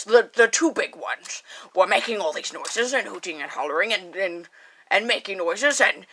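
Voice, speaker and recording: A woman talks in a playful tone. Her voice is raspy and fairly high. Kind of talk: late-night spooky radio host. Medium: solo performance. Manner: rambling, scattered, playful.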